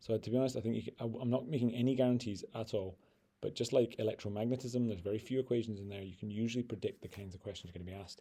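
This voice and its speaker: A man talks at a very fast pace with a medium pitch. His tone is dark and mellow, and his intonation fairly even. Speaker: physics teacher. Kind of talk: tutorial. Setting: screen recording.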